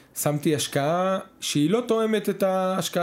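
A man's ordinary pitch variation comes across on a very clean recording with a silent background. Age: 30s. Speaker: business consultant. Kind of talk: casual chat.

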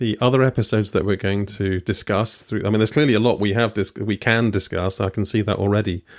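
A man with a British accent, fairly low in pitch, very fast, with fairly even intonation. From UK. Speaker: podcast host. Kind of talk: casual interview. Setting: video call from home.

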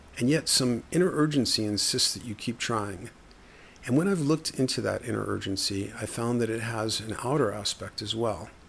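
With vocal fry and lively intonation, a man speaks at a moderate pace and a medium pitch. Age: 50s. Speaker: writer. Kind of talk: casual monologue.

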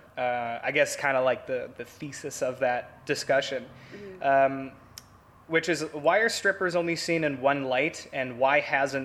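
A man with an unremarkable speaking voice talks at a fairly high pitch with ordinary pitch variation. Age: 20s. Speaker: podcast host. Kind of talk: casual interview.

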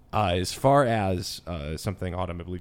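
The man's voice sits very deep and low, with vocal fry. The recording is very clean, with a silent background. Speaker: podcast producer. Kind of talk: casual chat.

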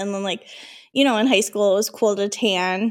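In a very clean recording with a silent background, a woman speaks at a medium pitch in an American accent. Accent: Minnesota accent, stronger when drinking. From Minnesota. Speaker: podcast co-host. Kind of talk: casual chat.

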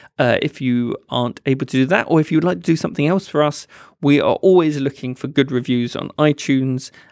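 A man's normal speaking voice, fairly high in pitch, with ordinary pitch variation and a fairly quick pace, on a very clean recording with a silent background and a dry, close sound with no echo. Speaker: podcast host. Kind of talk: casual chat.

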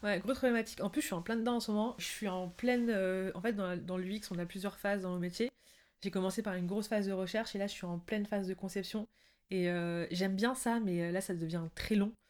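Speaking in a normal speaking voice, a woman keeps a medium pitch. Her pace is fairly quick. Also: fairly even intonation. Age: 20s. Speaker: UX designer. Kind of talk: casual interview.

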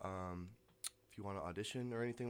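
A man with a normal speaking voice talks in a fairly low pitch with ordinary pitch variation. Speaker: student band manager. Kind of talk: casual interview. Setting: radio studio.

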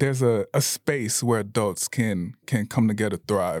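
A man with an American accent and a normal speaking voice, at a medium pitch with ordinary pitch variation and a moderate pace, in a very clean recording with a silent background and a dry, close sound with no echo. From Bradenton, Florida. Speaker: ski club co-founder. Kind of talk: casual chat.

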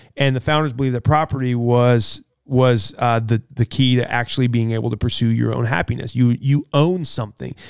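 In a normal speaking voice, a man with an American accent talks at a fairly quick pace and medium pitch, with hardly any pauses. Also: very clean recording, silent background. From US Midwest. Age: 40s. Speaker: pastor. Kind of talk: casual chat.

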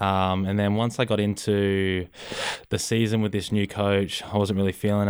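A man's fairly low voice with an Australian accent, fairly quick and monotone, with flat intonation. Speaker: college football punter. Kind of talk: casual interview.

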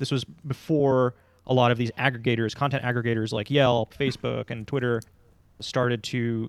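A man with a normal speaking voice, medium pitch, fairly even intonation, and a fairly quick pace. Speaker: podcast host. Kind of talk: casual podcast conversation.

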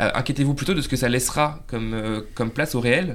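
Very fast speech comes from a man with a medium pitch. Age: 30s. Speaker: journalist and panelist. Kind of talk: casual panel discussion.

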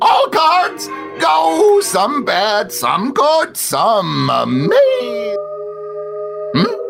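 A man in a put-on character voice, very slow, with clear music in the background. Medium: actual play. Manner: clipped broken phrases.

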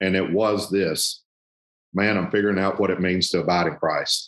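With a Southern US accent, a man speaks at a moderate pace in a very deep, low pitch. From US South, southern Arkansas. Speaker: ministry regional director. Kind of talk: casual interview.

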